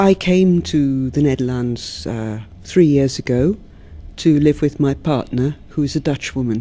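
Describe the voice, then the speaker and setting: A woman with a southern English accent, very deep and low in pitch, fairly slow, with ordinary pitch variation. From London, England. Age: 50s. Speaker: poet. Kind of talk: interview; poetry reading.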